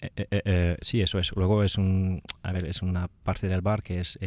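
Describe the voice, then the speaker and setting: Very deep, low man's voice at a fairly slow pace against a quiet background. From France. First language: French (speaking Spanish). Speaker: speed dating event organizer. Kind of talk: radio interview. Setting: radio studio. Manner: halting.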